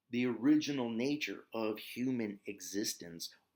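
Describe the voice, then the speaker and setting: A man with an Ozark accent talks at a fairly slow pace with ordinary pitch variation. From US, Ozarks. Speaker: yoga and meditation teacher. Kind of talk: spiritual teaching talk. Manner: casual with filler words.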